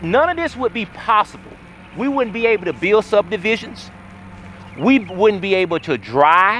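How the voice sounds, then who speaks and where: A man's high voice moves at a moderate pace, animated in tone and lively in intonation. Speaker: local historian and community developer. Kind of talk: documentary tour narration.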